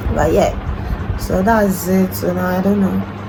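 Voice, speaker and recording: A woman with a very deep, low pitch and very wide pitch swings, audible room echo and music in the background. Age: 20s. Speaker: vlogger. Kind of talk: casual vlog chat. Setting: in bed at home.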